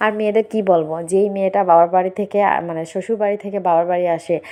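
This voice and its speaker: A woman with an ordinary speaking voice and fairly even intonation. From Bangladesh. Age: 30s. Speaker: vlogger. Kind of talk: casual vlog monologue.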